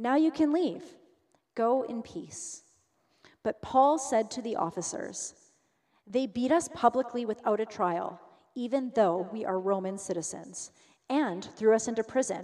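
A woman speaks at a fairly slow pace with long, frequent pauses. Her fairly high voice has lively intonation and a dark, mellow tone. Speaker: congregation volunteer. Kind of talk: scripture reading aloud.

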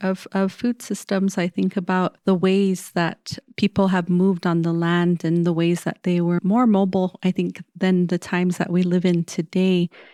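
A woman with an American accent speaks at a moderate pace and medium pitch, with monotone, flat intonation, a dark, mellow tone, hardly any pauses and very even loudness. The very clean recording has a silent background and a dry, close sound with no echo. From Hopi Reservation, northern Arizona. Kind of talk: casual chat.

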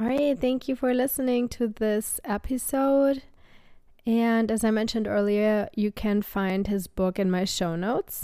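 Her tone dark and mellow, a woman speaks at a fairly high pitch and fairly slow pace, with very even loudness and ordinary pitch variation. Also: very clean recording, silent background. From Germany, Sauerland near Dortmund. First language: German. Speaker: podcast host. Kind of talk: casual interview chat.

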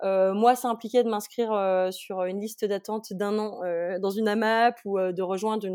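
On a very clean recording with a silent background, a woman speaks at a medium pitch in a dark, mellow tone with fairly even intonation. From France, Haute-Savoie. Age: 30s. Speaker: food logistics entrepreneur. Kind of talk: interview. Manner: hesitant, many fillers.

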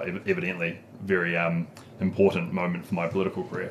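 A man with a New Zealand accent speaks in a very deep, low voice, his intonation monotone and flat. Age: 20s. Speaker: local politician. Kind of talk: casual chat.

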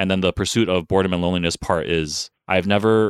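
On a very clean recording with a silent background and a dry, close sound with no echo, the speaker uses fairly even intonation with an American accent. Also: man. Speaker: former software engineer. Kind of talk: casual chat. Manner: halting.

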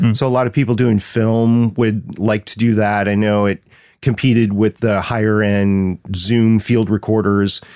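A man's fairly low voice at a fairly slow pace, dry and close with no echo. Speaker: podcaster.

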